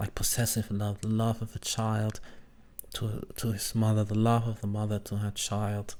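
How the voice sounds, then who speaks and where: Here is a man's voice. It sits at a fairly low pitch. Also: very clean recording, silent background. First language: not English. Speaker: VTuber reacting to old videos. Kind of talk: reaction commentary.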